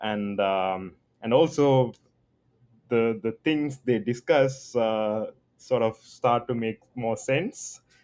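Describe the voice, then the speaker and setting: This man talks very slowly. His pitch shifts in an ordinary way. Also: medium pitch for a man. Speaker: graduate student researcher. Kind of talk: casual conversation.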